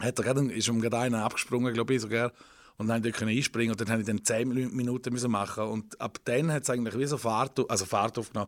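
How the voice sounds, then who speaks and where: Speech comes at a very fast pace in monotone, flat intonation. The recording is very clean, with a silent background. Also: man, medium pitch for a man. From eastern Switzerland, Rhine Valley. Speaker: comedian and singer. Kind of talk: casual interview. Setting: radio studio.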